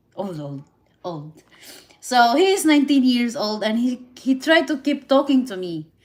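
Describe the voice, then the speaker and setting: With a Filipino accent, a woman speaks at a high pitch and a moderate pace. Her pitch swings very widely, and her loudness shifts in big swings. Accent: Filipina. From Philippines. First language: Visayan and Tagalog. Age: 30s. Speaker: live streamer. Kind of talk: casual live stream chat. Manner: halting, repetitive.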